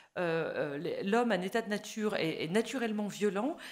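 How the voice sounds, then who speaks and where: Lively intonation and a moderate pace come through on a very clean recording with a silent background. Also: woman. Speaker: foreign policy expert, panelist. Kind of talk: panel talk at a public conference. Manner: hesitant, many fillers.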